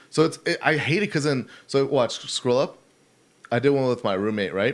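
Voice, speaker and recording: In a normal speaking voice, a man with an American accent talks at a fairly quick pace and medium pitch, his intonation lively. The recording is very clean, with a silent background. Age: 20s. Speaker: internet personality. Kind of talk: casual chat. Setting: studio.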